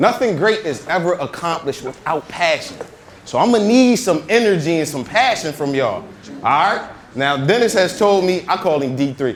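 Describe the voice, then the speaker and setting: Loud speech with lively intonation rises over noticeable background noise. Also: man, high pitch for a man, moderate pace. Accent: American. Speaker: motivational speaker. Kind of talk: motivational talk. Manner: energetic.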